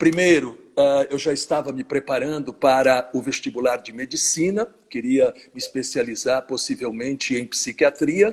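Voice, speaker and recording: Here is a man with a plain, everyday voice and a fairly high pitch. His pace is moderate, and his pitch varies in an ordinary way. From Brazil, São Paulo state (Jundiaí / São Paulo). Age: 60s. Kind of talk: interview in a live stream. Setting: online live stream.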